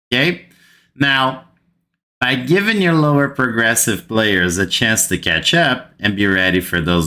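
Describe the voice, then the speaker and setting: With a Brazilian accent, a man speaks at a very slow pace and medium pitch. His tone is bright and sharp, and his pitch swings very widely. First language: Portuguese. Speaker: gaming youtuber. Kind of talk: gaming commentary rant. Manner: animated.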